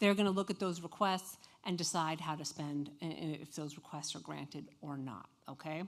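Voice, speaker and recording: Her pitch varying in an ordinary way, a woman talks at a fairly quick pace. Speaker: national auxiliary officer presenting at a conference. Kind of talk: conference presentation. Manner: fast.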